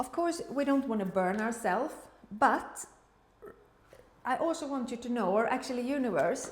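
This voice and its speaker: A woman with a Swedish accent speaks at a high pitch and a moderate pace, with ordinary pitch variation. Room echo and background noise are both noticeable. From Sweden. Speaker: tarot reader. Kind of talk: tarot reading. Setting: room in the kitchen, high ceiling. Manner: halting. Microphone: echoey room sound.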